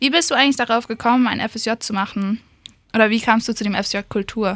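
A woman talks at a fairly quick pace and fairly high pitch, with ordinary pitch variation. The sound is dry and close, with no echo. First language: English (speaking German). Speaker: radio host, cultural volunteer. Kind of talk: interview. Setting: radio studio.

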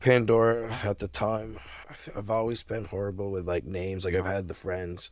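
A man with an unremarkable speaking voice talks at a moderate pace. His pitch is fairly low and his intonation fairly even. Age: 40s. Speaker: cannabis grower. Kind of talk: casual chat. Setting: podcast interview.

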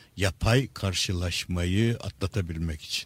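This is a man talking. His speech comes at a fairly slow pace. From Istanbul, Turkey. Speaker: neuropsychiatrist and author. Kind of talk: radio interview, lecture-like explanation. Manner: hesitant with frequent filler sounds.

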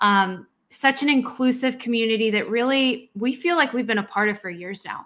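Her pitch is fairly high, with ordinary variation. The woman keeps a moderate pace. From Colombian-American, raised in US South (Atlanta). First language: Spanish. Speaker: podcast co-host, cybersecurity audit consultant. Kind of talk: casual chat. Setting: video recording.

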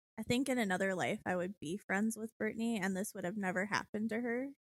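A woman speaks in a normal speaking voice at a fairly high pitch and a fairly quick pace, with fairly even intonation and a dry, close sound with no echo. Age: 20s. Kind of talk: casual chat. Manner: laughs often.

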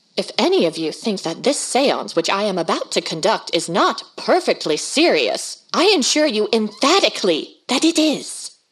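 In a shrill, put-on character voice, a woman speaks at a fairly high pitch and moderate pace with very wide pitch swings and hardly any pauses. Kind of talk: 1930s radio horror drama. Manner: domineering, imperious, shrill.

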